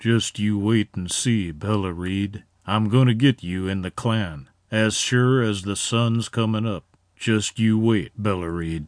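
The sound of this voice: A man uses a put-on character voice that sounds shaky, pitched fairly low. He talks at a fairly slow pace, and the sound is dry and close with no echo.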